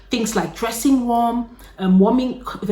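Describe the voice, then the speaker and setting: Noticeable background noise sits behind a woman's voice. She talks at a fairly quick pace with ordinary pitch variation. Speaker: YouTuber. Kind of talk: casual chat. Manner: fast; animated.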